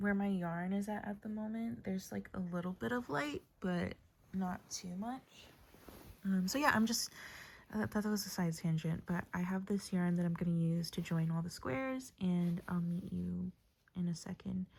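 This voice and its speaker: Somewhat breathy and fairly low in pitch, a woman talks at a moderate pace with ordinary pitch variation. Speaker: crochet vlogger. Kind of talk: casual crafting vlog. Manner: casual with frequent 'um' fillers.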